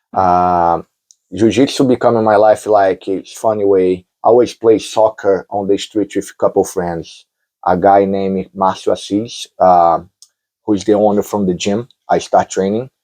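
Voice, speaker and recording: A man with a Brazilian Portuguese accent has a dark, mellow tone, a fairly low pitch and fairly even intonation at a moderate pace. The sound is dry and close with no echo, over a quiet background. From Brazil, Rio de Janeiro. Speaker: jiu-jitsu champion. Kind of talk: interview.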